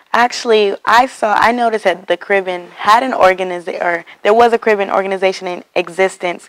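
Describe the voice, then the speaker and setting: A woman's plain, everyday voice in an American accent, medium in pitch, with fairly even intonation, a fairly quick pace and a dry, close sound with no echo. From Texas. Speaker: student organization president. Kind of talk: interview. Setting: university campus.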